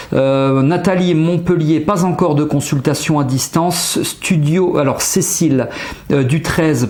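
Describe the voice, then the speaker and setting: Fairly high male voice, fairly even in intonation, with noticeable background noise behind it. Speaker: hypnotherapist and trainer giving a webinar. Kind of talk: live webinar presentation. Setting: livestream with chat.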